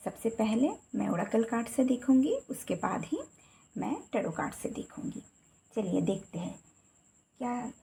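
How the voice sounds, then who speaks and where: A fairly high-pitched woman's voice with a Bengali accent, ordinary pitch variation and long, frequent pauses. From Bengal, India. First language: Bengali (speaking Hindi). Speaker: tarot reader. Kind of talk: tarot card reading. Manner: casual.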